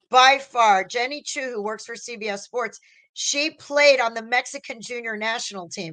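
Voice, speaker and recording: Fairly quick and fairly high-pitched, a woman speaks in a bright, sharp tone with ordinary pitch variation. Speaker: sports journalist, stand-in show host. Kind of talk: casual sports podcast chat.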